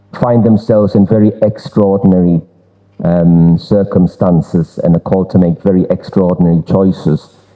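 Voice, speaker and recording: A man with a Durham accent speaks at a moderate pace in a very deep, low pitch. His intonation stays fairly even and his loudness very even. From northern England, Durham. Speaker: exhibition presenter. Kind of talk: public presentation. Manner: halting, many repetitions and fillers.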